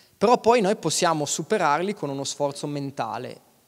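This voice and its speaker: At a moderate pace, a man is speaking. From Aosta Valley, Italy (Valtournenche); Aosta Valley, Italy. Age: 30s. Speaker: mountain guide and alpinist; mountain guide. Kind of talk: talk on stage. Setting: stage with audience. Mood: relaxed, smiling. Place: stage. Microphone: handheld.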